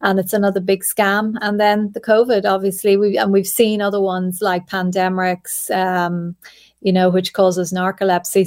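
In a very clean recording with a silent background, a woman with an Irish accent speaks at medium pitch in a monotone, flat intonation. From Ireland. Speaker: journalist. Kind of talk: interview.

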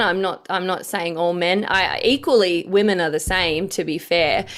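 A woman with an Australian accent talks at a fairly slow pace, her medium pitch held to a fairly even intonation. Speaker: political commentator. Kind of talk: interview. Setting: video call.

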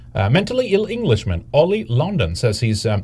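A man talks at a very fast pace with a somewhat breathy voice. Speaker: political commentary podcast co-host. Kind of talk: casual chat. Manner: halting.

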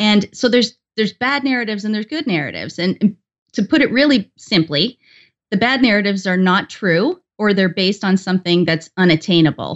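A woman with an unremarkable speaking voice talks at a fairly quick pace. Her pitch is medium and her intonation lively. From Canada. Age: 40s. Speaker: YouTuber. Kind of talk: casual interview.

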